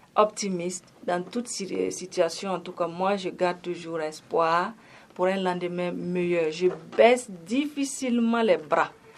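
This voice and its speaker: A woman at a medium pitch, with ordinary pitch variation and a very slow pace. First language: Gourmantché (speaking French). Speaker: singer and actress. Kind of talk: radio interview.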